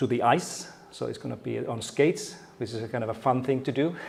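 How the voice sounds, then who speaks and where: A man with a Finnish accent, medium pitch and moderate pace, in audible room echo. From Finland. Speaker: keynote speaker, education researcher and former teacher. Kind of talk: conference keynote talk. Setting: stage with audience. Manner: halting, with many fillers and repetitions.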